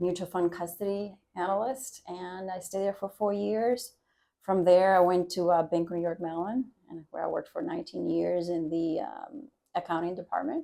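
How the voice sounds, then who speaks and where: A woman speaks at a medium pitch with a Spanish accent. Her tone is dark and mellow, and her pitch varies in an ordinary way. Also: moderate pace. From Dominican Republic. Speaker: university trustee board chair. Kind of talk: podcast interview.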